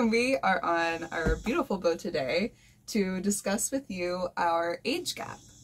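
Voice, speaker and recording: Somewhat breathy, a woman talks at a fairly slow pace in a medium pitch. Her intonation is lively. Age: 20s. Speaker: boat-living couple vlogger. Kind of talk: casual chat. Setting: on a boat.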